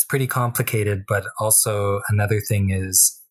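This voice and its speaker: On a very clean recording with a silent background, a man talks at a fairly slow pace in a fairly low pitch, sounding somewhat breathy. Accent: western Canadian. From Tsuut'ina reserve near Calgary, Alberta, Canada. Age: 20s. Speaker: First Nations activist. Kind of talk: radio interview.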